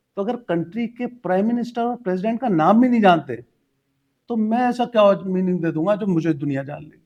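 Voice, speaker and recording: Moderate pace, lively intonation and big swings in loudness. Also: man, high pitch for a man. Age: 50s. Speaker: life coach. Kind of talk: interview.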